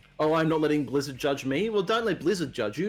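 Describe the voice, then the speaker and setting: A man talks with an Australian accent in a fairly high pitch. His pitch swings very widely. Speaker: streamer. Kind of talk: casual chat.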